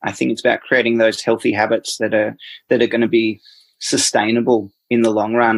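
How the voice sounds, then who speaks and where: A man with an Australian accent speaks very fast at a medium pitch. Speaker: dietitian. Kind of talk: interview answer.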